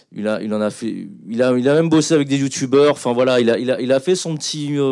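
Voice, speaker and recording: A man's normal speaking voice at medium pitch, fairly slow and fairly even in intonation, on a very clean recording with a silent background. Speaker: film director. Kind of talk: panel talk. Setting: stage with audience.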